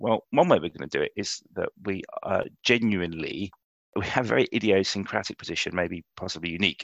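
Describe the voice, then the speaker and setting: With a London accent, a man speaks at a very fast pace in a fairly low-pitched voice with ordinary pitch variation, the sound dry and close with no echo. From London, England. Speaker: insurance executive. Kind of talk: interview conversation.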